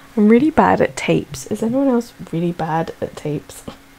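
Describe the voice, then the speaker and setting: There is noticeable background noise. A woman speaks at a moderate pace. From Scotland. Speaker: planner vlogger. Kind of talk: casual voiceover narration. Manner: chatty, hesitant with fillers.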